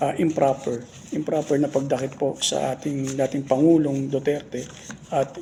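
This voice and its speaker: Soft-spoken and delivered at a moderate pace, the voice has a monotone, flat intonation over noticeable background noise. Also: man. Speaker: political commentary vlogger. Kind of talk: casual political commentary. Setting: office. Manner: halting.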